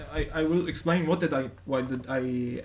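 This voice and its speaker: Pitched fairly high, a man speaks at a fairly slow pace with ordinary variation in his pitch. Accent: non-native. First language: not English. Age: 20s. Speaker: YouTuber and self-taught computer science learner. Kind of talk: casual vlog. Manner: halting, many fillers.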